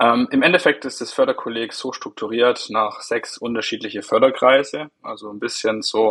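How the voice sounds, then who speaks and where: A man speaking at a moderate pace. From Swabian Jura, southwest Germany. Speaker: national spokesperson of a bank talent program. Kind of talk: interview.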